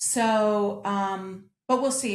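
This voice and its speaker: Here a woman with an American accent speaks in an unremarkable speaking voice at a medium pitch, with ordinary pitch variation. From United States. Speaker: opera singer, mezzo-soprano. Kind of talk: interview answer.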